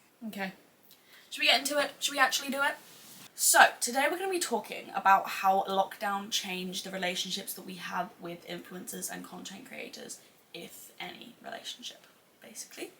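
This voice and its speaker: Amid noticeable background noise, a woman talks at a fairly quick pace with big swings in loudness. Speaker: podcaster / YouTuber. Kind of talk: casual chat. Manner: animated.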